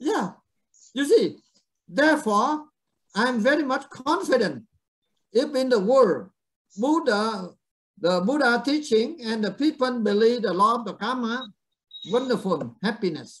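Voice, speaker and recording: Extremely high in pitch, a man talks at a fairly slow pace with lively intonation. He leaves long, frequent pauses. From Vietnam. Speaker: Buddhist monk teacher. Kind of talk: dharma talk. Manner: halting.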